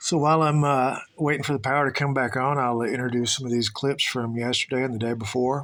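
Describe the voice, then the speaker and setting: A man speaks in a Southern US accent at a medium pitch. His intonation stays fairly even. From US South, Tennessee. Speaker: vlogger. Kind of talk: travel vlog monologue. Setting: indoors, power out. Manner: hesitant, many filler words.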